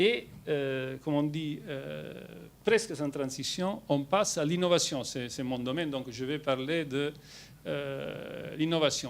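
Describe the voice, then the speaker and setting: Very slow speech in a strong Italian accent with ordinary pitch variation. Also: man, fairly high pitch for a man. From Italy. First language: Italian (speaking French). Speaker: company executive. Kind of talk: presentation to shareholders. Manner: hesitant with many fillers.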